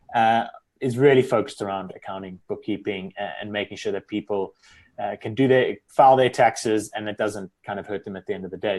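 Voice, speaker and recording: A man with a South African accent talks at a fairly quick pace. His loudness swings widely over a quiet background. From South Africa, Cape Town. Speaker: accountant. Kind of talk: interview.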